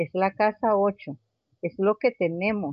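A woman is speaking. Her pace is very slow. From Venezuela (Caracas), Colombian family. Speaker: astrologer and spiritual therapist. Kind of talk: casual interview.

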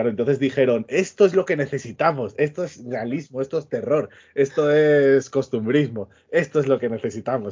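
A man with an ordinary speaking voice talks at a moderate pace, pitched fairly high, his pitch varying in an ordinary way. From Extremadura, Spain. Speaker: podcast co-host. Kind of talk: casual chat.

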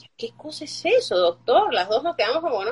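Her pitch swinging very widely, a woman speaks over noticeable background noise. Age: 40s. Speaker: fibromyalgia patient sharing her story. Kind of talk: interview testimony.

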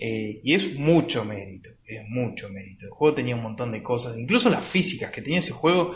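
Over noticeable background noise and audible room echo, a man with an Argentine accent talks at a fairly quick pace with hardly any pauses, his medium pitch making very wide swings and his loudness shifting a great deal. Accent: Rioplatense Argentine Spanish. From Argentina. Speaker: gaming podcast host. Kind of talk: casual chat.

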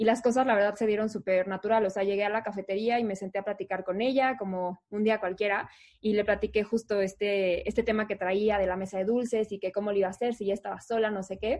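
At a very fast pace with hardly any pauses, a woman speaks in a monotone, flat intonation. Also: medium pitch for a woman. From Mexico City. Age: 30s. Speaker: event company co-founder. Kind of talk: casual interview.

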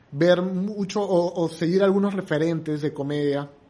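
A man's high-pitched voice with a dark, mellow tone, a fairly slow pace and fairly even intonation. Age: 30s. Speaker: comedian and entrepreneur. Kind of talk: casual chat.

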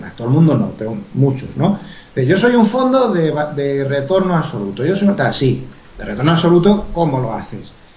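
A man with a fairly high pitch speaks at a moderate pace, his pitch swinging very widely, with noticeable background noise and audible room echo. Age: 50s. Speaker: author and professional trader. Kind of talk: interview.

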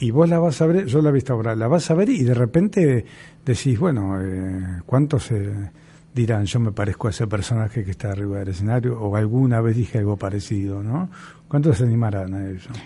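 A man speaks at a fairly quick pace with a medium pitch, lively intonation, and a dark, mellow, somewhat breathy tone. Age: 60s. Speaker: theatre teacher and radio co-host. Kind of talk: casual chat. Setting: studio.

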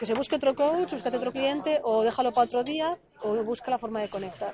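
Over noticeable background noise, a woman with a high pitch talks at a very fast pace with ordinary pitch variation. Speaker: life coach. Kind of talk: casual chat. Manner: stuttering.

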